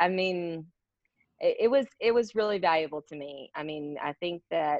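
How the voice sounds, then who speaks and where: A woman at a fairly low pitch and moderate pace, lively intonation, a normal speaking voice. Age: 30s. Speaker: business owner. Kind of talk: interview.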